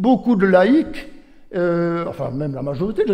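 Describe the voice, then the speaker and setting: This man has a high pitch and a dark, mellow tone. He speaks at a moderate pace. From Switzerland, Jura (Courgenay). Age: 70s. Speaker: retired bishop. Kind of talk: public talk. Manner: conversational, hesitant.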